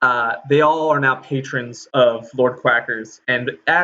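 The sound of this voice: Throughout the clip, the speaker reads in an unforced reading voice.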